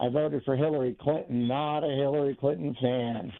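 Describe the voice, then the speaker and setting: This man has a plain, everyday voice. He keeps a moderate pace, and his pitch varies in an ordinary way. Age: 60s. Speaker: caller. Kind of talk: call-in opinion. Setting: phone call.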